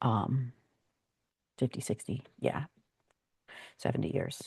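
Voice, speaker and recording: A woman with an American accent speaks at a fairly slow pace in a dark, mellow tone with ordinary pitch variation. The sound is dry and close with no echo, over a quiet background. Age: 60s. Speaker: Bible teacher. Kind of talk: Bible reading with commentary. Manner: halting.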